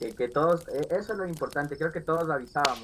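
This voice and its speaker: Using an unremarkable speaking voice, a man delivers his words at a moderate pace, his pitch varying in an ordinary way. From Riobamba, Ecuador. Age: 20s. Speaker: game contest winner. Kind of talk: casual interview chat.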